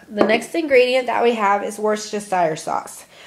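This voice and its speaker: Over noticeable background noise, a woman talks with an American accent at a moderate pace. Her pitch is medium, with ordinary variation. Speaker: college student. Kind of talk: class presentation, cooking tutorial.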